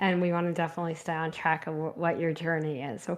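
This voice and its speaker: This woman talks with a New Jersey accent. Her voice sits fairly low, and her intonation stays fairly even. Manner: warm, encouraging.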